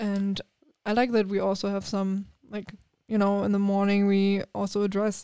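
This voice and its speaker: A woman with a German accent speaks at a moderate pace and medium pitch. Her intonation is monotone and flat. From Germany. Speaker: TV news reporter. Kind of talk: casual interview.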